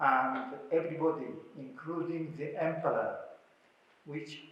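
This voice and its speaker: Speaking at a fairly slow pace, a man with a fairly high voice uses ordinary pitch variation, and audible room echo surrounds him. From Japan. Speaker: scholar, researcher. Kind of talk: talk to an audience. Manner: halting, many hesitations.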